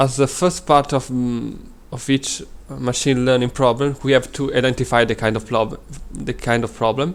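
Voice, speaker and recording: A man with a medium pitch talks at a moderate pace, his intonation fairly even. Long pauses come often. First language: Italian. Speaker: data science student. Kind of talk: presentation. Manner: halting.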